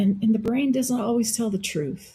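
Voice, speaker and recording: A woman speaks in a dark, mellow tone. Her voice is somewhat breathy, with ordinary pitch variation. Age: 60s. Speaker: wellness practitioner. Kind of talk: interview.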